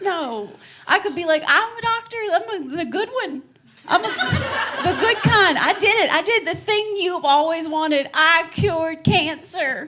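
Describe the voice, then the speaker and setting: Over noticeable background noise, a woman with an extremely high pitch speaks fairly slowly in a raised, projected voice with lively intonation. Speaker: stand-up comedian. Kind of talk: stand-up. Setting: stage with audience. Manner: animated.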